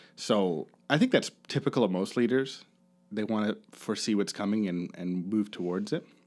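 A man with a Canadian accent and an ordinary speaking voice talks at fairly low pitch, with ordinary pitch variation and a moderate pace, in a very clean recording with a silent background. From Ontario, Canada (Kincardine). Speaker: podcast guest host, former Bible college student. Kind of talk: casual chat.

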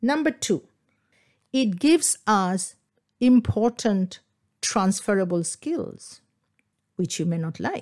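A woman with a Bengali accent speaks very slowly at a medium pitch, pausing long and often. Her pitch swings very widely, and the recording is very clean with a silent background. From India, Kolkata (Bengal). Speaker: dance teacher and podcast host. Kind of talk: solo podcast talk.

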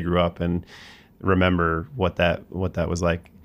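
Speaking with an American accent, a man with a very deep, low voice keeps to monotone, flat intonation at a moderate pace. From US, southern New Jersey. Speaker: podcast host. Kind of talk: casual chat. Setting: studio.

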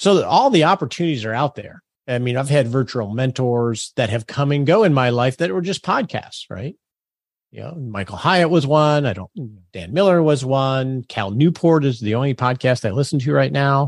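On a very clean recording with a silent background and a dry, close sound with no echo, a man with an unremarkable speaking voice talks at a moderate pace with medium pitch and lively intonation. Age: 50s. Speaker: financial planner and podcaster. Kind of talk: casual interview chat.

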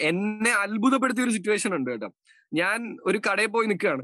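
A man's raised, projected voice carries a bright, sharp tone, a high pitch and lively intonation. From Kerala, Palakkad. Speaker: radio jockey and podcaster. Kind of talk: casual interview chat.

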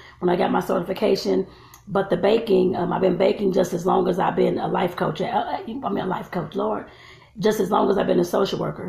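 Background noise is noticeable. Delivery runs fairly quick. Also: woman. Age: 40s. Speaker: vlogger and life coach. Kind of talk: casual vlog monologue. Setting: at home filming while braiding hair. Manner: chatty, with filler words.

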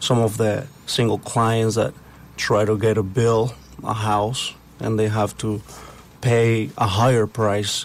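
A man with a Spanish accent speaks at a very slow pace. His loudness is very even and his intonation fairly even. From Puebla, Mexico. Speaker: construction company partner. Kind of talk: interview.

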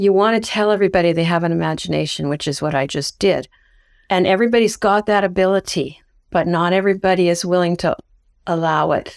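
A woman talks at a very fast pace in a medium pitch with ordinary pitch variation. The recording is very clean, with a silent background. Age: 60s. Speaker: writer and creative writing teacher. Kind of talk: casual interview.

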